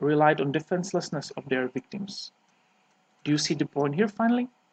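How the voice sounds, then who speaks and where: Speaking with a Czech accent, a man uses a fairly high pitch with ordinary pitch variation. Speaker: sport shooter. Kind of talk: reading aloud. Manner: formal.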